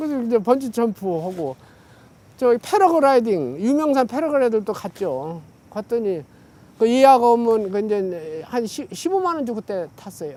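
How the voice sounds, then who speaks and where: Over noticeable background noise, a man speaks at a moderate pace with an extremely high pitch and very wide pitch swings. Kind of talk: casual oral-history interview answer. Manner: relaxed, chatty, conversational.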